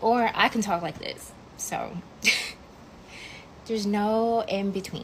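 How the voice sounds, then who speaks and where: Very slow delivery with long, frequent pauses and fairly even intonation. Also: woman, medium pitch for a woman. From US South, Atlanta, Georgia. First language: non-English (English is third language). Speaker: social media creator. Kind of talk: casual vlog talk. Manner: casual, filler-heavy.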